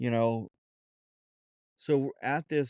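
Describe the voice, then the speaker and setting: A man with an American accent speaks at a very slow pace. The sound is dry and close with no echo, over a quiet background. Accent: Southern accent when relaxed, put on at times. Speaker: podcast host. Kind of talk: casual monologue. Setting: home studio. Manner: halting, many fillers.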